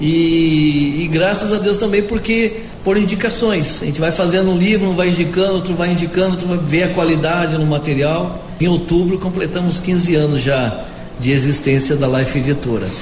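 In a recording with audible room echo and noticeable background noise, a man talks at a high pitch with ordinary pitch variation and very even loudness. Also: moderate pace. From interior of São Paulo state, Piracicaba. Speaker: book publisher. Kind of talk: radio interview.

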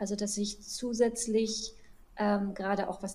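A woman speaks very slowly at a medium pitch in a flat monotone. Her tone is dark and mellow, and somewhat breathy. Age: 30s. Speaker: physician. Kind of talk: interview.

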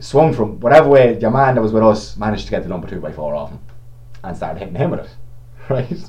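A man with a Meath Irish accent speaks at a very fast pace in a fairly low pitch, his pitch swinging very widely and his loudness shifting a lot. Noticeable background noise and audible room echo fill the recording. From Navan, County Meath, Ireland. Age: 20s. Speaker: sports shop worker. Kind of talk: casual chat.

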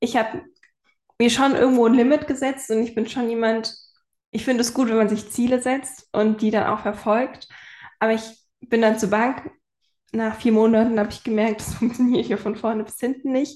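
In a fairly high pitch, a woman talks at a moderate pace with monotone, flat intonation. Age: 20s. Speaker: photographer and web designer. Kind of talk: casual chat.

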